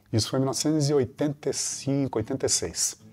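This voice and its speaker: Music plays in the background as a man speaks. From Brazil, southern Minas Gerais. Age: 60s. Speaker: actor. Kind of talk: interview conversation.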